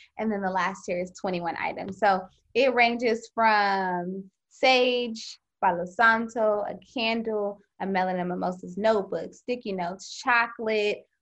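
At a fairly slow pace, a woman with a plain, everyday voice speaks at a medium pitch with fairly even intonation. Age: 20s. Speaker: organization founder, author and performer. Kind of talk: casual interview chat. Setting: remote call.

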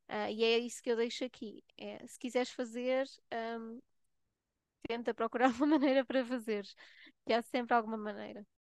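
A woman with a fairly high pitch speaks at a moderate pace with fairly even intonation, big swings in loudness and long, frequent pauses, in a dry, close sound with no echo and a quiet background. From Portugal. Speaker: nurse and health researcher. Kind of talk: casual chat.

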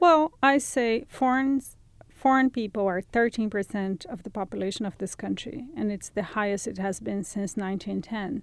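Someone with a Brazilian accent speaks at a moderate pace. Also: woman, fairly high pitch for a woman, ordinary pitch variation, very clean recording, silent background. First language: Portuguese. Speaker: journalist and writer. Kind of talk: interview.

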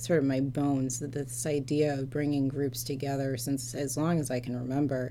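A woman with a very deep, low pitch speaks at a moderate pace. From Metro Detroit, Michigan, US. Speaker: church policy staffer, former lawyer and judge. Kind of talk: interview.

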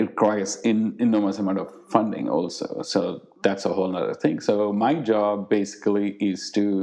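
A man's fairly low voice with fairly even intonation and hardly any pauses, over noticeable background noise. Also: moderate pace. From India. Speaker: artist and cancer research program director. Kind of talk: interview.

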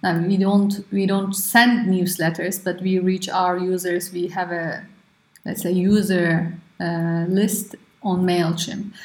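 A woman speaks at a very slow pace, somewhat breathy. Her intonation stays monotone and flat. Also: medium pitch for a woman. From Turkey. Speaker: startup co-founder and engineer. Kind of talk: interview.

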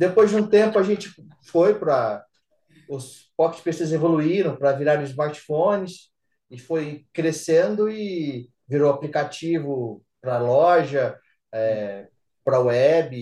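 A man speaks fairly slowly in an ordinary speaking voice. His pitch is fairly high and his intonation lively. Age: 40s. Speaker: systems analyst. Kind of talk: casual chat.

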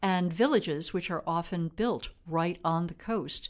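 In a very clean recording with a silent background, a woman with a medium pitch and ordinary pitch variation speaks at a fairly slow pace in an unremarkable speaking voice. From US Midwest, Wisconsin. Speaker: former politician and Arctic policy official. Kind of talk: interview. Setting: studio.

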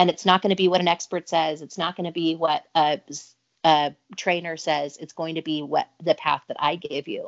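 Speaking at a moderate pace with a Utah accent, a woman keeps a fairly low pitch and a monotone, flat intonation while her loudness swings widely. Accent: American (Utah). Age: 30s. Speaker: businesswoman and speaker. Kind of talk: interview testimony.

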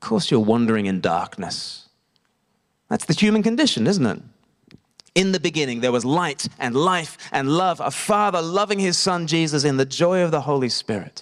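Very wide pitch swings from a man with a fairly high pitch at a moderate pace. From Australia. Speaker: evangelist and preacher. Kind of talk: sermon. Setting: church service with congregation.

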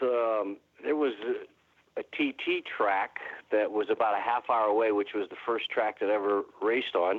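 Moving at a moderate pace, a plain, everyday voice with an American accent shows ordinary pitch variation. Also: man. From northeast Ohio, Warren. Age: 50s. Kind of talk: casual interview. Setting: phone call.

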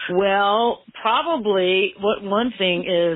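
A woman speaks at a very slow pace with an American accent. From Maine, US. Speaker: permanent makeup artist and business owner. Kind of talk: interview.

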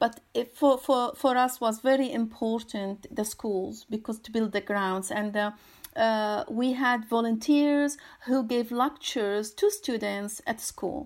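Here a woman speaks with an Arabic accent at a fairly high pitch. The recording is very clean, with a silent background. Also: fairly even intonation, fairly slow pace. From Syria. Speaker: artist and environmental activist. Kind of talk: interview. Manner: halting, many fillers and repetitions.

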